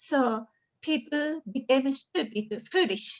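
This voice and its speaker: A woman's high-pitched voice with a Japanese accent, very slow pace and ordinary pitch variation. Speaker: audience member. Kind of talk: audience question. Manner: halting.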